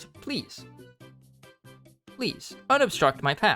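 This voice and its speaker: A man puts on a character voice at a high pitch while faint music plays in the background. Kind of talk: formal, polite.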